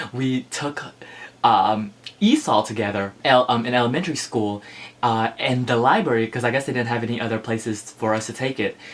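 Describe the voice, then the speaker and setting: A man at medium pitch with an American accent, at a fairly quick pace, amid noticeable background noise. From Philippines, Ilocos Norte, moved to US at 7 or 8. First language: Ilocano. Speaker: book vlogger. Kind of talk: casual vlog chat. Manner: animated.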